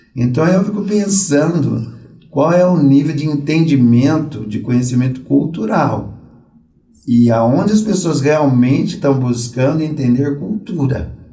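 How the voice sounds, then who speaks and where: Somewhat breathy and dark, mellow in tone, a man speaks at a fairly slow pace with lively intonation amid audible room echo. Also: fairly high pitch for a man. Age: 60s. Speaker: Umbanda priest. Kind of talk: podcast interview.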